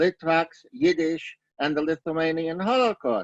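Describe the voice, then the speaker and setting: Fairly slow and fairly high in pitch, a man talks with a Brooklyn accent. The sound is dry and close, with no echo. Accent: Brooklyn New York. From Brooklyn, New York. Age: 60s. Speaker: Yiddish scholar, lecturer. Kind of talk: lecture. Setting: video webinar.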